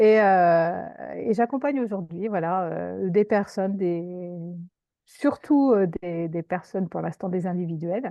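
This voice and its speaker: Her pitch medium and ordinary in its variation, a woman speaks at a very slow pace. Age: 50s. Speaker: career coach, former teacher. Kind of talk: interview. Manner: hesitant, many fillers.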